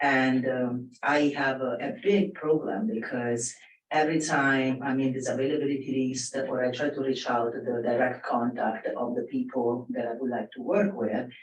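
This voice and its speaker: With a non-native accent, a man talks with hardly any pauses over noticeable background noise. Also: medium pitch for a man, ordinary pitch variation, moderate pace. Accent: foreign. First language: not English. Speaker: audience member, film production assistant. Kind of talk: audience question at panel. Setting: live panel with audience. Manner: halting, with many fillers.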